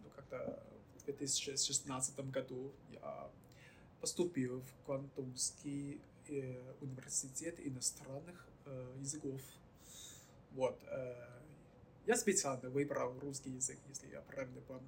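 Speech comes very slowly, with long, frequent pauses and a somewhat breathy quality. The intonation stays fairly even while the loudness swings widely. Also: man, fairly high pitch for a man. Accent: Chinese. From mainland China. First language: Chinese (speaking Russian). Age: 20s. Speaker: guest from China, Russian-language graduate. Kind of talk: interview. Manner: halting.

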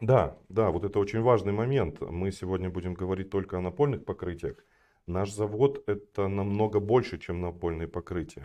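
At a moderate pace, a man talks in an unremarkable speaking voice that sits fairly low, with ordinary pitch variation. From Kazakhstan (north, Kostanay; school in Almaty). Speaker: flooring company sales director. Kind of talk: podcast interview.

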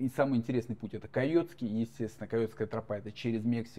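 The man's voice sits at a medium pitch and carries a dark, mellow tone. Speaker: marathon runner and blogger. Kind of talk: casual chat.

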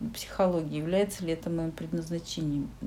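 A somewhat breathy woman with a dark, mellow tone at a moderate pace. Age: 40s. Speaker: psychologist. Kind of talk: casual chat.

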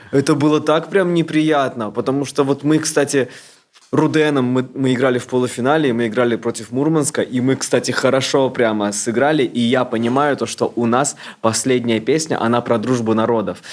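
A man's medium-pitched voice with fairly even intonation, very even loudness, and a moderate pace over noticeable background noise. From Moscow. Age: 30s. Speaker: blogger. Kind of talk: casual chat.

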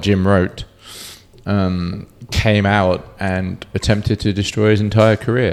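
In a British accent, a man speaks at a fairly slow pace with a fairly low pitch and monotone, flat intonation. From Cornwall, England. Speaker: bartender. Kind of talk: casual chat.

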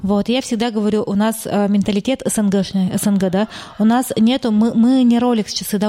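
Noticeable background noise runs under the clip. A woman speaks at a moderate pace with fairly high pitch. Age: 30s. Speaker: real estate agency owner. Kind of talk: casual interview.

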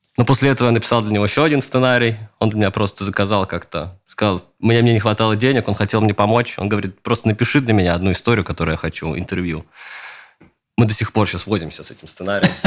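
Very fast speech from a man with a fairly low pitch. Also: ordinary pitch variation. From Russia, Leningrad region (Luga). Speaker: screenwriter and showrunner. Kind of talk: interview.

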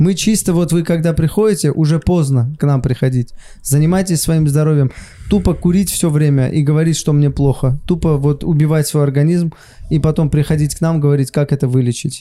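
A man with a dark, mellow tone speaks at a fairly high pitch and a fairly quick pace. His intonation is fairly even and his loudness very even. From Saint Petersburg. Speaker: comedian. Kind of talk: casual chat.

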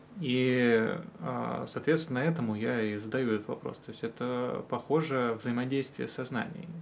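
Moderate pace and ordinary pitch variation in a man's medium-pitched voice. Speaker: podcast host, religious studies graduate. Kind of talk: casual interview.

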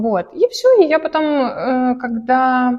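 A woman speaks with a high pitch and lively intonation. Her tone is dark and mellow. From Russia, village. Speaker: painting studio owner. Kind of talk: casual interview.

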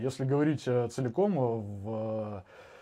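This man's voice sits at a medium pitch. The pitch variation is ordinary. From Saint Petersburg, Russia. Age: 20s. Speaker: war veteran. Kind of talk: casual chat. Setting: live stream.

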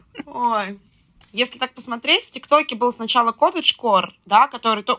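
A woman at a fairly high pitch and moderate pace, bright, sharp tone, ordinary pitch variation, and a dry, close sound with no echo. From Russian Far East and Moscow region. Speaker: marketing and PR specialist. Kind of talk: casual chat.

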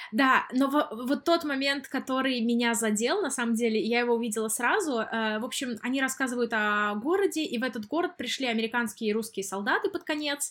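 Quick-paced and high-pitched, a woman speaks at a fairly brisk rate. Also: lively intonation, hardly any pauses. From Russia. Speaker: podcast co-host, Russian expat. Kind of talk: casual chat.

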